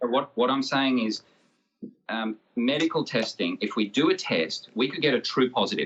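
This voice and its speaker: In an Australian accent, a man talks at a moderate pace and medium pitch with ordinary pitch variation. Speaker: medical doctor, young-earth creationist debater. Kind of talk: debate.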